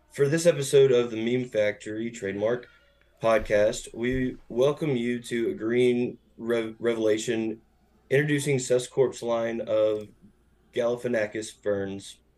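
The speech moves at a fairly slow pace with fairly even intonation. Music plays in the background. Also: man, medium pitch for a man. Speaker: podcast host guest. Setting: video call.

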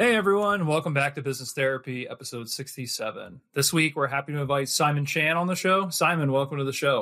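With an ordinary speaking voice, a man talks at a fairly quick pace and fairly high pitch, using ordinary pitch variation and hardly any pauses. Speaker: podcast host. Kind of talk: interview.

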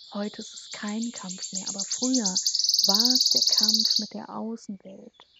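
The speech moves at a very slow pace with hardly any pauses. Its loudness swings widely. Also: woman. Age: 30s. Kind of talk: personal monologue.

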